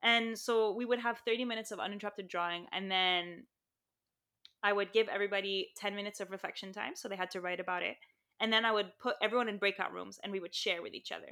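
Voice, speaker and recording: A woman's bright, sharp voice at a very fast pace, with fairly even intonation. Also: medium pitch for a woman. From Saudi Arabia and Lebanon, Armenian family. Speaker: impact investor and designer. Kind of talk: interview.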